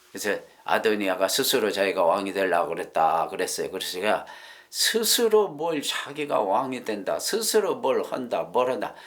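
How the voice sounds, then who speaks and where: Audible room echo surrounds a man whose speech moves at a moderate pace. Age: 70s. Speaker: preacher. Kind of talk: sermon. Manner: halting, with many fillers.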